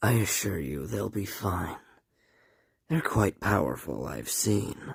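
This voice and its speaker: A man puts on a raspy character voice, very deep and low, with very wide pitch swings at a fairly slow pace. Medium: machinima. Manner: formal, measured.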